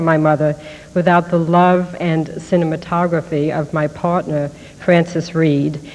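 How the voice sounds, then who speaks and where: This woman's voice sits at a fairly low pitch. Her intonation stays monotone and flat. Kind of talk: acceptance speech. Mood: grateful, moved. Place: hall. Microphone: podium.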